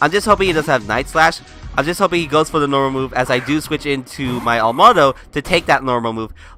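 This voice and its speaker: With music in the background, a man speaks at a very fast pace in a fairly high pitch with ordinary pitch variation. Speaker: gaming commentator. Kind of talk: game commentary.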